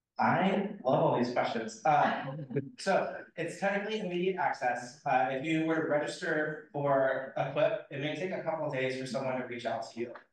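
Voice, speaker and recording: A man talks at a fairly high pitch, with audible room echo around him. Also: ordinary pitch variation, moderate pace. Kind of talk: presentation Q&A.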